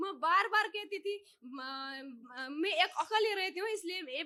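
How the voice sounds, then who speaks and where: A woman with a Nepali accent speaks in a raised, projected voice. Her tone is bright and sharp, and her intonation lively. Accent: Nepali-accented Hindi. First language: Nepali (speaking Hindi). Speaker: devotee seeking healing. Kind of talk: testimony. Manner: halting, hesitant.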